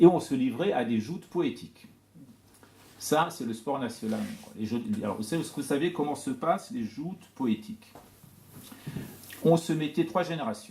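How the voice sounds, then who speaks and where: Pitch swings very widely as a man speaks at a moderate pace, fairly high in pitch. His tone is dark and mellow and somewhat breathy. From Iran, Tehran, with early childhood in France. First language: Persian (speaking French). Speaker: poet and scholar of Persian literature. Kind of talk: talk to an audience. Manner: hesitant, many fillers.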